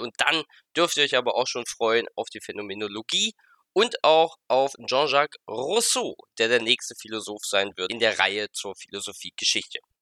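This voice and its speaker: Recorded with a dry, close sound and no echo, a man at a medium pitch talks at a moderate pace with lively intonation and a bright, sharp tone. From Germany, Halberstadt (Saxony-Anhalt). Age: 30s. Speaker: podcast host. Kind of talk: solo podcast monologue.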